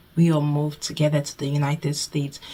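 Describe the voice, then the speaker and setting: Somewhat breathy, a woman talks at a fairly quick pace in a very deep, low voice. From Nigeria. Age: 20s. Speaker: budgeting YouTuber and nursing student. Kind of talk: casual vlog Q&A.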